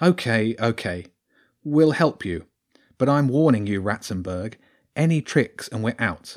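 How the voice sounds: Over a quiet background, the speaker uses a natural reading voice with lively intonation.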